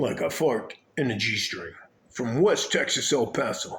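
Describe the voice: A man performs a put-on character voice. His pitch is medium and his pace moderate.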